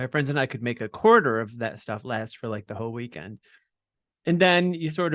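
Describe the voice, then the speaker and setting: With a normal speaking voice, a man talks fairly quickly at a fairly high pitch with lively intonation over a quiet background. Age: 60s. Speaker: drag nun performer and activist. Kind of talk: interview. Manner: casual, many fillers.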